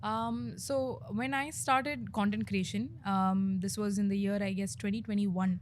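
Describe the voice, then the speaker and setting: A somewhat breathy woman speaks at a moderate pace with hardly any pauses, her medium pitch swinging very widely. Audible room echo is present. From India, Bengaluru. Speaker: content creator and comedian. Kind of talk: interview. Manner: hesitant, many fillers.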